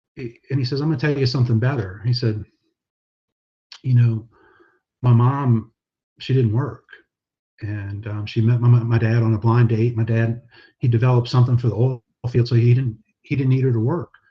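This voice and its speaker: A man's soft-spoken, somewhat breathy voice in a dark, mellow tone, with fairly even intonation, moderate pace, and long, frequent pauses. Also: medium pitch for a man. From New Orleans, Louisiana. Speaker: pastor. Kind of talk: casual chat.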